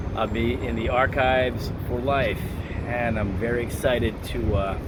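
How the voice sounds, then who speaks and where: Noticeable background noise accompanies a man speaking at a middling tempo. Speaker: voice actor. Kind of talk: casual talk to camera. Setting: museum walk-through vlog.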